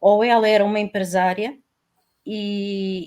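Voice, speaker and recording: A woman with a fairly high pitch. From Portugal. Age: 60s. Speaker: retired woman, panel guest. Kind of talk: panel discussion. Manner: halting, many fillers.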